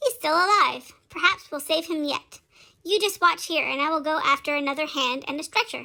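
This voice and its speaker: A woman's put-on, squeaky character voice at an extremely high pitch and a fairly quick pace. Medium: solo performance. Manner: folksy, informal slang.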